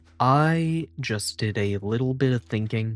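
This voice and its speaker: A very slow-paced man with ordinary pitch variation, dry and close with no echo, music in the background. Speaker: gaming video creator. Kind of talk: casual gameplay commentary, ASMR. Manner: halting, self-interrupting.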